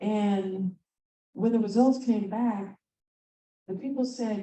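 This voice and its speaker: A somewhat breathy woman's voice of medium pitch, with a dark, mellow tone and ordinary pitch variation. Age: 60s. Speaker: conference presenter. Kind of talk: conference talk. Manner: animated.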